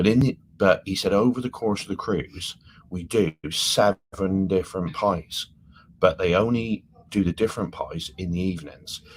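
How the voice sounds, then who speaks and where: A fairly low-pitched man with ordinary pitch variation and big swings in loudness. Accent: English. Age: 50s. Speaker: travel vlogger. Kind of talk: casual chat. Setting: live stream from cruise ship cabin. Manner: animated.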